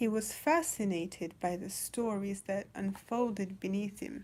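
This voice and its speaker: A woman is speaking. Her pace is very slow. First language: not English. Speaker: storyteller reading children's books. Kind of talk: casual chat; reading aloud. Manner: hesitant, many fillers.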